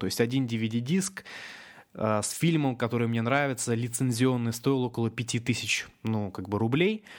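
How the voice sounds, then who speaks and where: At a fairly slow pace, a man speaks in a plain, everyday voice of medium pitch with ordinary pitch variation. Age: 20s. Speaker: internet entrepreneur. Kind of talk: webinar talk. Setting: online webinar.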